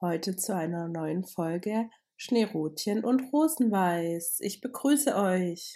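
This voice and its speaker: A woman's dark, mellow voice at a medium pitch and a very slow pace, on a very clean recording with a silent background. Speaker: podcast co-host. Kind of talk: casual chat.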